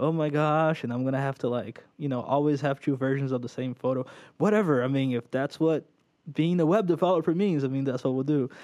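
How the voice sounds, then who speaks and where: A man with a Portuguese accent talks at a fairly quick pace, his pitch fairly high with ordinary variation. His tone is dark and mellow over a quiet background. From Brazil, São Paulo. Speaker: web developer and programming instructor. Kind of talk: casual interview. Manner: animated.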